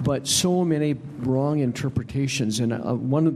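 A man's voice sits fairly high and moves with ordinary pitch variation, with noticeable background noise behind it. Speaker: evangelism group member. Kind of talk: casual group discussion.

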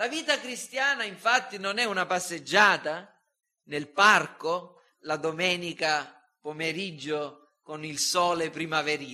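Very slowly, a man with a high pitch speaks with lively intonation. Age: 50s. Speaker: pastor. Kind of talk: sermon.

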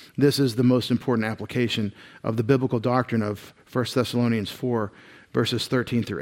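A man in a Texan accent speaks at a fairly quick pace with medium pitch and fairly even intonation, in a very clean recording with a silent background. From East Texas. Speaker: pastor. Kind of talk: sermon.

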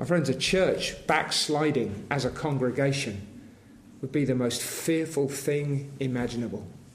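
Noticeable background noise sits behind a man with a fairly high pitch. He talks at a fairly slow pace with ordinary pitch variation. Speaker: preacher. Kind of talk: sermon with fervent, pleading prayer for revival. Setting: church. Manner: fervent, earnest, pleading, imploring; repetitive, rhythmic pleading.

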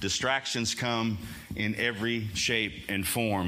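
A man with a fairly low pitch speaks over noticeable background noise, with audible room echo around him. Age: 50s. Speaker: pastor. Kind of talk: sermon. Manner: loud.

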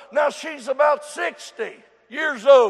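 Through noticeable background noise, a man speaks at a very slow pace. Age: 70s. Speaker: preacher. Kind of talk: sermon. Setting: church.

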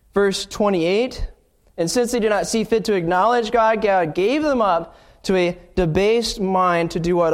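The voice reads in an unforced manner. Pitch shifts are ordinary.

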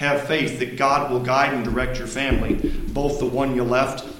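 Noticeable background noise and audible room echo surround this man's voice. He has a medium pitch and keeps a moderate pace. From Indiana, US Midwest. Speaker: missionary preacher. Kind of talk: sermon. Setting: church.

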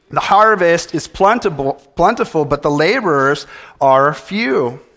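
Very slowly, a man speaks at a fairly high pitch with lively intonation. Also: very clean recording, silent background. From California. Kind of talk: sermon.

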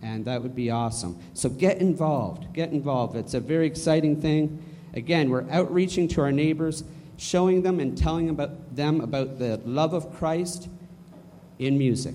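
With audible room echo, a man speaks at a moderate pace in a fairly high, dark, mellow voice with ordinary pitch variation. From Canada. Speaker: church announcements leader. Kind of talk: church announcements. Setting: church.

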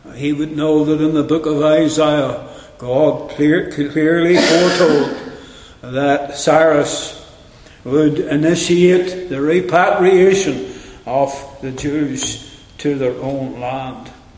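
Over noticeable background noise, a man talks at a very slow pace, his fairly high pitch carrying fairly even intonation. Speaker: preacher. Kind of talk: sermon, expository Bible teaching with opening prayer. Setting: church. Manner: earnest, solemn, devotional; measured, didactic, warmly encouraging.

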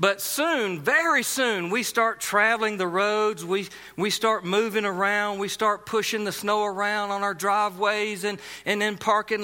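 With a South Carolina accent, a man projects a raised, high-pitched voice with a bright, sharp tone at a fairly slow pace, in a very clean recording with a silent background. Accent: Southern US (South Carolina). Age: 40s. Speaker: pastor. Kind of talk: sermon.

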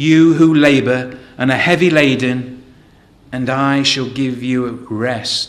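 A man with an English accent, fairly high pitch, ordinary pitch variation and a very slow pace. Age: 40s. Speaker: lay preacher. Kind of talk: sermon. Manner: hesitant with repetitions.

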